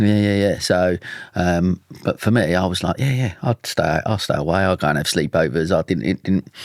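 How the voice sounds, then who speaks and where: Recorded very cleanly against a silent background, a man with an Essex accent speaks in a very deep, low voice, the sound dry and close with no echo. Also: ordinary pitch variation, moderate pace. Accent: Essex twang. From Essex, England (Dagenham). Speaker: mental health campaigner, podcast guest. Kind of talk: podcast interview. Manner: casual, chatty.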